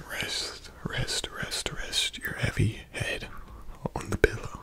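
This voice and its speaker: A man whispers in a soft-spoken way. Noticeable background noise runs underneath. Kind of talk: soft guided relaxation talk. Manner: soft, slow, close-mic whisper. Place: home room. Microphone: studio mic.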